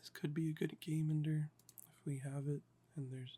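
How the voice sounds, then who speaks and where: A man speaks in a relaxed tone with a fairly high pitch and a dark, mellow quality. His voice is somewhat breathy and his intonation monotone and flat. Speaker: Magic: The Gathering deck builder and ASMR content creator. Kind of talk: casual talk to camera, deck building walkthrough. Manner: monotone, slow, relaxed.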